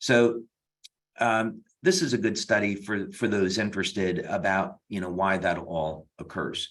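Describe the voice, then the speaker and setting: Delivered fairly slowly, the speech shows ordinary pitch variation. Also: man, fairly low pitch for a man. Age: 60s. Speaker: health product science expert. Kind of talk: webinar Q&A. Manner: halting, many fillers.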